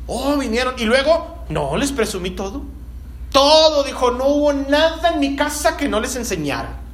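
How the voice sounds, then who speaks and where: Amid noticeable background noise and audible room echo, a man with an extremely high pitch speaks fairly slowly with ordinary pitch variation. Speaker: pastor. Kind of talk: sermon.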